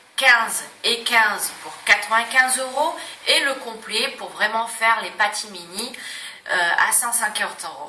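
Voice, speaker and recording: A woman at a fairly high pitch and fairly slow pace, with noticeable background noise and audible room echo. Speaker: beauty salon owner presenting prices. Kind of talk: sales pitch. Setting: Facebook live video. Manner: hesitant fillers.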